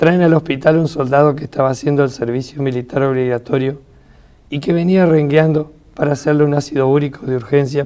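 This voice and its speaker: This man has a normal speaking voice and a fairly high pitch. He talks at a fairly quick pace with fairly even intonation. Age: 60s. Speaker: retired biochemist and author. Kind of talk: reading aloud; interview.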